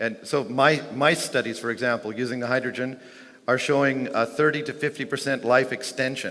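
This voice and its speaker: Amid audible room echo, a man with a bright, sharp tone speaks at a fairly quick pace, medium in pitch and fairly even in intonation. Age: 60s. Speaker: inventor and conference speaker. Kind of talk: conference Q&A. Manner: halting.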